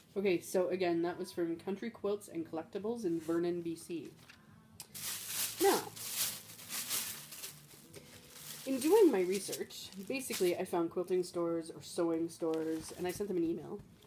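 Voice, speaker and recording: A woman speaks at a fairly low pitch with ordinary pitch variation, leaving long, frequent pauses. Noticeable background noise runs underneath. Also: moderate pace. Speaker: craft hobbyist vlogger. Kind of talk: casual vlog chat. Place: home room. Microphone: phone near.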